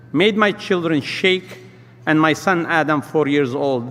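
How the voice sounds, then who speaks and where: The intonation is lively as a man speaks at a fairly slow pace. Noticeable background noise is present. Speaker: restaurant business owner and community leader. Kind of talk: speech at a luncheon event.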